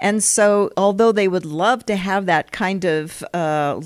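A woman's normal speaking voice, fairly low in pitch, with ordinary pitch variation and a fairly slow pace, in a very clean recording with a silent background and dry, close sound with no echo. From US West (Colorado, California). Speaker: historian, professor. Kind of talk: interview.

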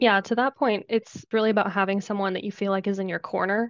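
Fairly quick and fairly even in intonation, a woman speaks at a medium pitch. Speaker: architect. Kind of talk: casual chat.

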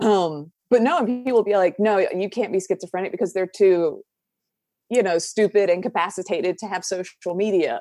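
Music plays in the background as a woman speaks at medium pitch and a moderate pace, with ordinary pitch variation. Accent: American. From US South. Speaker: mental health advocate and YouTuber. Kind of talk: casual interview chat, personal storytelling.

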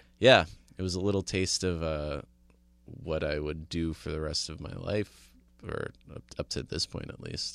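A man with a slight New Jersey accent speaks in a very deep, low voice. His pace is moderate and his pitch varies in an ordinary way. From suburban New Jersey. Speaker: comedian and show producer. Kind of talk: casual interview.

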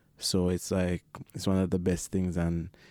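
A dark, mellow voice delivers its words in a monotone, flat intonation on a very clean recording with a silent background. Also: man. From Jamaica. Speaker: refugee claimant, member of a support group. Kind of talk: interview. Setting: studio.

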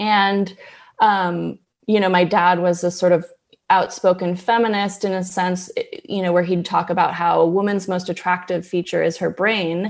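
Against a quiet background, a woman with an American accent talks at a medium pitch and a moderate pace. Her intonation is monotone and flat. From US West Coast, Berkeley, California. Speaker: journalist and author. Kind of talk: interview.

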